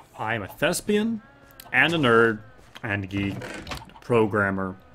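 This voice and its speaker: This man's medium-pitched voice, with ordinary pitch variation, moves very slowly over noticeable background noise. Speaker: video game streamer. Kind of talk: casual chat. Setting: live stream.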